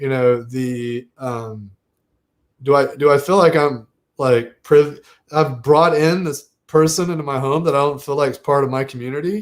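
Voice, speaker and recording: At a moderate pace, a man with a slight Southern US accent speaks in a fairly high pitch. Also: ordinary pitch variation. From US South, Southern Virginia. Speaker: podcast host. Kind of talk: casual interview chat.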